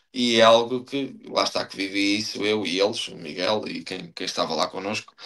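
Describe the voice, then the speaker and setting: A man at a moderate pace, with big swings in loudness and ordinary pitch variation. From Portugal, Estarreja (Aveiro district). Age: 30s. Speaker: professional footballer. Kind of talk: podcast interview. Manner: hesitant, many fillers and repetitions.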